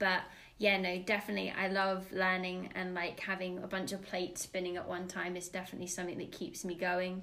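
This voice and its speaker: A woman's bright, sharp voice, monotone and flat, at a fairly quick pace amid audible room echo. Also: medium pitch for a woman. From England, raised in Dubai and Florida. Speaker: play leader, former nursery teacher. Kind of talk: casual interview.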